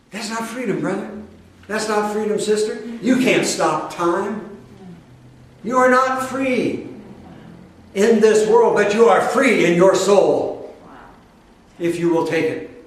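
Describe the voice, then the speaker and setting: A man with a high voice speaks at a very slow pace, leaving long, frequent pauses, with ordinary pitch variation. Noticeable background noise and audible room echo fill the recording. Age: 60s. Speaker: spiritual teacher. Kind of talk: sermon. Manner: animated.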